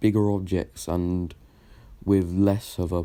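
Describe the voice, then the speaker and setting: In a very deep, low pitch and a dark, mellow tone, a man speaks at a very slow pace with monotone, flat intonation. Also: very clean recording, silent background. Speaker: fan story narrator. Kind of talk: casual improvised story narration. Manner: hesitant, stuttering.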